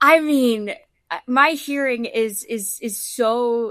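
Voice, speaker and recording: With an American accent, the speaker uses ordinary pitch variation on a very clean recording with a silent background. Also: woman. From Florida, Naples. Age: 20s. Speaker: country singer-songwriter, blindness advocate. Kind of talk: interview. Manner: halting, many fillers and repetitions.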